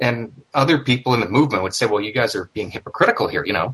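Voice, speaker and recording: A man with an ordinary speaking voice and a Canadian accent talks at a fairly quick pace with ordinary pitch variation. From Canada. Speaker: former neo-Nazi, podcast listener. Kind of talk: casual interview.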